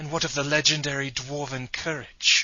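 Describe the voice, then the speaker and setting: A man puts on a character voice at a fairly high pitch. His intonation is monotone and flat, at a moderate pace. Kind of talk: comic parody acting. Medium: audio drama. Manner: exasperated, sarcastic.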